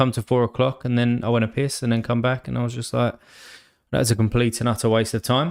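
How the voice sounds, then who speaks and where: Recorded very cleanly against a silent background, a man with an English accent and a medium pitch talks at a fairly quick pace. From England. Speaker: sports card game streamer. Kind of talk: live stream chat. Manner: casual, filler-heavy.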